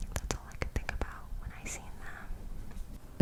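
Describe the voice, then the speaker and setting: Noticeable background noise sits behind a woman who whispers very slowly. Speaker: ASMR creator. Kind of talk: ASMR vlog voiceover. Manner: whispered, close to the mic.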